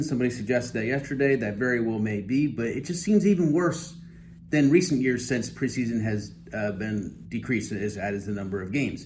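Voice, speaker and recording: A man talks at a fairly quick pace with a medium pitch, lively intonation and vocal fry. Audible room echo surrounds his voice. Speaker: fantasy football commentator. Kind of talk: casual monologue video. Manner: halting, stammering.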